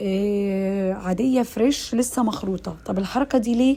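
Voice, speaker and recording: An animated woman talks with an Egyptian accent and ordinary pitch variation. Background noise is noticeable. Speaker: cooking channel host. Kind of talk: cooking tutorial.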